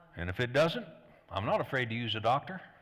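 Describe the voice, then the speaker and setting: At a medium pitch, this man speaks in an unremarkable speaking voice. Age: 60s. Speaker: pastor. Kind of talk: sermon. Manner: conversational.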